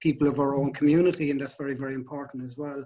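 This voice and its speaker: The speaker talks in a Cork accent with monotone, flat intonation. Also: man. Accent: Irish, Cork. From Ireland, Cork. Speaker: lifeboat volunteer. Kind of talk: interview.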